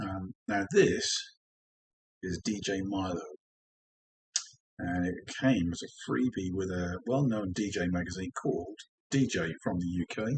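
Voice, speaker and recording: The voice has an English accent, a relaxed tone and a somewhat breathy quality. The sound is dry and close, with no echo. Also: man. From England. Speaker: DJ and record collector. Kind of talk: casual vinyl collection show-and-tell. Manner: relaxed, with frequent ums.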